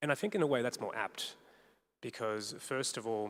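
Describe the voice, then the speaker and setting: At a fairly quick pace, the man speaks with medium pitch and ordinary pitch variation. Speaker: academic panel speaker. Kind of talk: panel discussion. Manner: loud.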